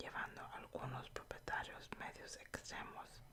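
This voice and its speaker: A woman is speaking. She whispers. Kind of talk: ASMR news reading in Spanish. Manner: whispered; soft-spoken.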